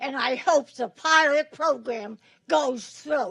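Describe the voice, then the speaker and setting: A woman's raised, projected voice, high-pitched with a bright, sharp tone, ordinary pitch variation and a very slow pace. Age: 90s. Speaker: resident speaking at public comment. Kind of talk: public comment at legislative meeting. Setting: legislative chamber.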